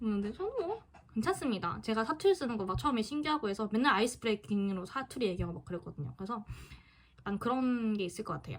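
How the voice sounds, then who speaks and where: Very fast and somewhat breathy, a woman speaks at a fairly high pitch with lively intonation. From Busan, South Korea. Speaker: student YouTuber. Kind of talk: casual Q&A vlog. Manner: halting.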